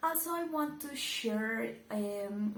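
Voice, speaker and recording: In a strong Colombian accent, a woman speaks at a fairly high pitch, with audible room echo. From Colombia, Medellin. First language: Spanish. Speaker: YouTuber reacting to videos. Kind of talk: casual video commentary. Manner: hesitant, with fillers.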